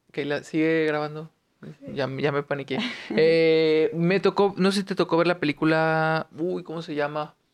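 Speaking fairly slowly, a man with a fairly high pitch keeps his intonation fairly even. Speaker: podcast host. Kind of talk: casual interview.

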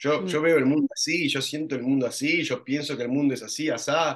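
His pitch shows ordinary variation. The man keeps a moderate pace. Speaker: actor and acting teacher. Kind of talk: casual interview. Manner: halting.

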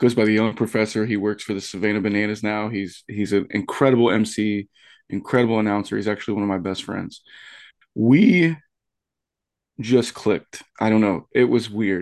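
Against a quiet background, a man talks in a normal speaking voice with a fairly low pitch. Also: fairly quick pace. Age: 30s. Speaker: wrestling commentator. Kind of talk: casual chat.

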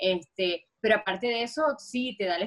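In a strong Venezuelan accent, a woman speaks with a fairly high pitch. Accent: strong Venezuelan (Maracaibo). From Venezuela, Maracaibo (Zulia). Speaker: dancer and choreographer. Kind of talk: interview.

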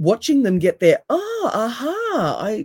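Recorded dry and close with no echo, a woman's voice swings very widely in pitch. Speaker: NLP coach and osteopath. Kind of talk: casual interview chat. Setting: video call.

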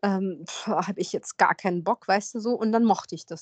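Against a quiet background, a woman talks at a fairly slow pace in an ordinary speaking voice. The sound is dry and close, with no echo. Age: 40s. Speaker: podcast host. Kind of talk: casual chat.

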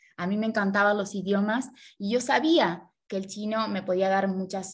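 A woman talks at a medium pitch, somewhat breathy. Her intonation stays fairly even. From Argentina. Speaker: Chinese language learner and social media creator. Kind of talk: interview.

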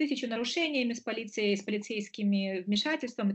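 A woman's somewhat breathy, medium-pitched voice, fairly quick in pace and lively in intonation. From Moldova. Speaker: lawyer. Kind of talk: interview.

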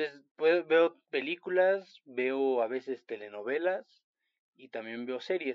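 Very slowly, a man speaks with lively intonation. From Chiapas, Mexico. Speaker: podcast co-host, friend of host. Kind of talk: casual chat.

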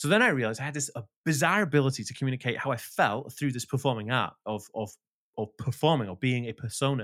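A man with a Welsh accent, medium pitch and ordinary pitch variation, animated in tone, on a very clean recording with a silent background. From rural Wales. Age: 30s. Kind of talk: casual interview chat. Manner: talkative, fast.

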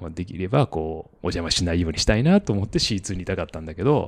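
A man's very deep, low voice at a very fast pace. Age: 40s. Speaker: company president and cyclocross racer. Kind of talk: casual chat.

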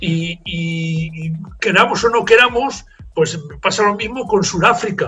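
A man with a Spanish accent and a high pitch, ordinary pitch variation, over noticeable background noise. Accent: Spanish (Spain). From Spain (Zaragoza), raised in Toulouse, France from age 12. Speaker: marathon race director. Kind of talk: interview. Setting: remote call.

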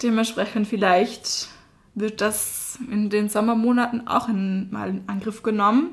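A woman with an Austrian accent talks at a fairly slow pace in a fairly high pitch. Noticeable background noise runs under her voice. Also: fairly even intonation. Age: 20s. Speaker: university student, podcast co-host. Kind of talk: casual chat.

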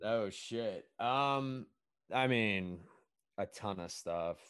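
On a very clean recording with a silent background, a man speaks at a medium pitch with lively intonation. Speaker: podcast host. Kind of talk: casual interview chat. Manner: energetic, animated.

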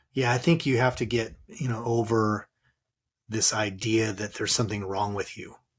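A man with a Californian accent talks at medium pitch and a moderate pace, somewhat breathy, with fairly even intonation. The recording is very clean, with a silent background. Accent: Californian American. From Southern California. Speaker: author and transformational coach. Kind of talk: interview about personal loss.

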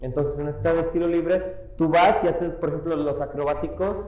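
Amid audible room echo and noticeable background noise, a man with a high pitch and a Mexican accent talks at a moderate pace. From Mexico, Iguala, Guerrero. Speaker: parkour athlete. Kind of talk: interview. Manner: halting.

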